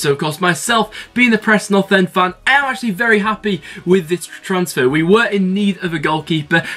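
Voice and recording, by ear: Bright and sharp in tone, a man's high-pitched voice moves at a fairly quick pace.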